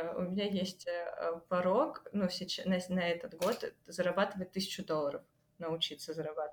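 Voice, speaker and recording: At a moderate pace and medium pitch, a woman with an unremarkable speaking voice shows ordinary pitch variation. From Ukraine, Kryvyi Rih. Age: 20s. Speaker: university dropout sharing life experience. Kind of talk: casual interview.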